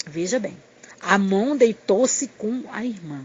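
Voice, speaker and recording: A woman talks in lively intonation while noticeable background noise carries on behind her. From Pernambuco, northeastern Brazil. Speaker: missionary preacher. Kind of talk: sermon. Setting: recorded audio message.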